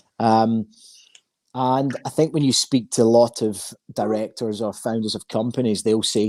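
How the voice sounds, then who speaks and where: A man with a Scottish accent, medium-pitched, at a fairly slow pace, with ordinary pitch variation, a dark, mellow tone, and a dry, close sound with no echo, on a very clean recording with a silent background. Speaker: recruitment firm founder. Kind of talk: interview.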